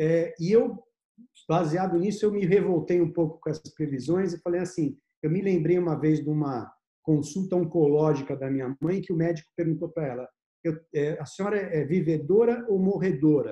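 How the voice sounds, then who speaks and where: A man with a dark, mellow tone speaks at a high pitch. His pace is moderate and his pitch variation ordinary. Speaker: investment firm partner and host. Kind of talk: casual interview chat. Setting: video call.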